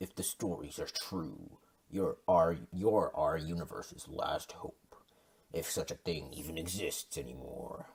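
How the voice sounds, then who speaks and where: A man puts on a growling character voice, very deep and low in pitch, with a dramatic tone at a fairly slow pace. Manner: epic, dramatic.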